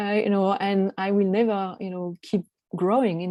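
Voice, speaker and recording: A woman's dark, mellow voice in a flat monotone, with a dry, close sound and no echo. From France. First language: French. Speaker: coach. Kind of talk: online presentation. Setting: video call. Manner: halting, many fillers.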